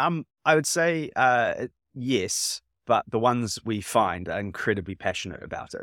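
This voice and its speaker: A man with a New Zealand accent speaks at a fairly slow pace, his intonation lively. The recording is very clean, with a silent background and a dry, close sound that has no echo. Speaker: startup founder. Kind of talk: interview. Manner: halting.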